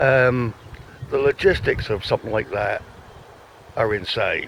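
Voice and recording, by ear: A man speaks with vocal fry at a fairly low pitch. His intonation is lively and his pace fairly slow.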